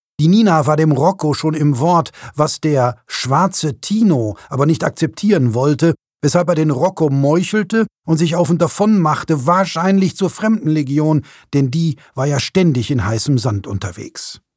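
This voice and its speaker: A man with a plain, everyday voice, fairly high in pitch, speaks at a fairly slow pace with lively intonation, in a very clean, dry, close recording with a silent background and no echo. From Ruhr area, Germany (Bochum). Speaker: author. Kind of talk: reading aloud.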